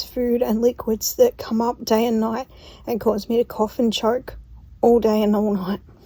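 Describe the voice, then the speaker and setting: A woman's fairly high, somewhat breathy voice with a dark, mellow tone, flat monotone intonation and a moderate pace. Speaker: patient with a chronic illness. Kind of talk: casual talk to camera.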